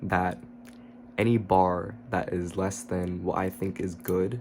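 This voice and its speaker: A man is whispering. His voice is quiet. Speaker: YouTuber. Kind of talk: casual vlog monologue. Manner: low, quiet voice, partly whispered.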